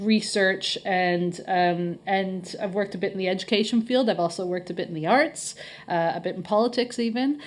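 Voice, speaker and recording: This is a plain, everyday voice with a Canadian accent. The pace is moderate. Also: woman, medium pitch for a woman, ordinary pitch variation. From Canada. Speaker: head of marketing at a college. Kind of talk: podcast interview.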